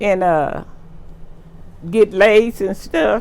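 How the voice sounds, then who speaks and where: A woman speaks at a very slow pace in a Texas accent. Her pitch variation is ordinary. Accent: Southern US (Texas). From Texas, USA. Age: 80s+. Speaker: oral history interviewee. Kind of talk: interview answer.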